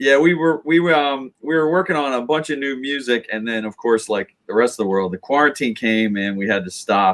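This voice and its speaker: Hardly any pauses break this man's fairly quick pace. His medium pitch carries lively intonation. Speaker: band member hosting live stream. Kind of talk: casual live stream chat. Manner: loud.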